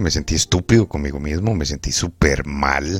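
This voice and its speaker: A man speaks at a fairly quick pace with ordinary pitch variation against noticeable background noise. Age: 30s. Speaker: podcaster. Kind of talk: personal monologue.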